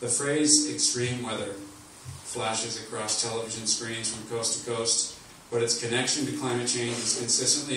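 The pace is moderate, with audible room echo. Light background noise sits under the speech. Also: man. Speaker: speaker. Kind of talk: speech reading a written column. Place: hall.

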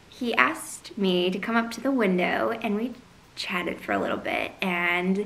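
This woman speaks at a fairly slow pace. Her pitch rises and falls in an ordinary way. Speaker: vlogger reviewing coffee drinks. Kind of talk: casual vlog chat. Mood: cheerful, upbeat. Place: home room. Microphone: camera far.

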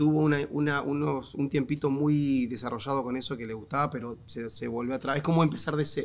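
A man talks at a fairly quick pace with hardly any pauses. His pitch is fairly high and his intonation fairly even. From Argentina. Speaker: comedian; podcast guest, comedian. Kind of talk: casual chat. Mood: reflective, tender. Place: studio. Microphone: studio mic.

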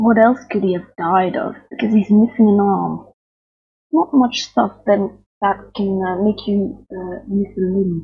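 A somewhat breathy woman at a fairly slow pace, with ordinary pitch variation and a quiet background. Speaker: gamer streamer. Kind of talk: casual gameplay commentary.

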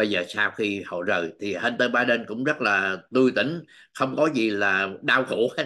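Against a quiet background, a man speaks fairly slowly with ordinary pitch variation. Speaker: political news commentator. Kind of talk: news commentary monologue. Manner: halting, with frequent fillers. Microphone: webcam.

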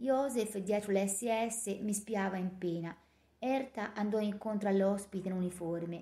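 Someone reads aloud in a natural voice.

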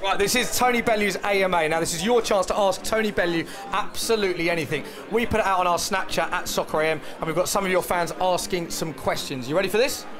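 Clear music plays in the background as a man talks at a very fast pace. His voice is high-pitched, with an upbeat tone. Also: ordinary pitch variation, very even loudness. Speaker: football TV presenter. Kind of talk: TV sports show presenting. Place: bar. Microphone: handheld.

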